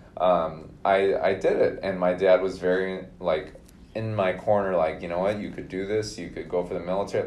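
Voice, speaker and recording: A man's very deep, low voice with an American accent, at a fairly quick pace amid audible room echo. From Minnesota. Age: 30s. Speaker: podcast guest. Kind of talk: casual interview.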